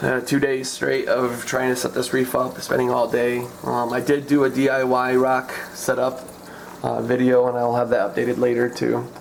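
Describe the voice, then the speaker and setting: A man's medium-pitched, monotone, flat delivery over noticeable background noise. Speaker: aquarium hobbyist vlogger. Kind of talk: tutorial. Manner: halting; casual.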